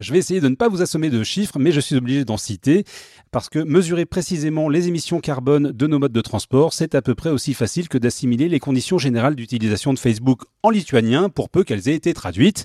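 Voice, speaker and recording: A man's very fast speech in a dark, mellow tone, fairly high in pitch with lively intonation, on a very clean recording with a silent background. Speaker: podcast co-host. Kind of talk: prepared segment reading.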